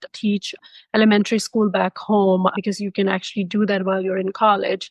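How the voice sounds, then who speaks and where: Speaking with a non-native accent, a woman holds a medium pitch in a monotone, flat intonation. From Pakistan. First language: not English. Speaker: MFT educator. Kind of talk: podcast interview.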